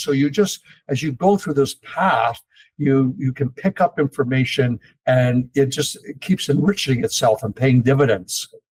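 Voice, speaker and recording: With lively intonation and a somewhat breathy quality, a man speaks at a medium pitch in a dry, close sound with no echo. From eastern Canada, Toronto. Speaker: investment company executive. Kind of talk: interview. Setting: podcast.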